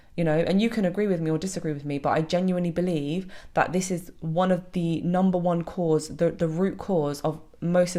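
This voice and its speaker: A woman talks very fast in a British accent, her pitch fairly low. Her tone is dark and mellow, with fairly even intonation. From Britain. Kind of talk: video monologue.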